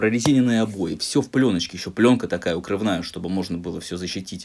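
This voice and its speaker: Fairly low in pitch, a man talks at a fairly quick pace. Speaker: streamer. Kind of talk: casual vlog chat, storytelling. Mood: annoyed, sarcastic storytelling. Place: home room.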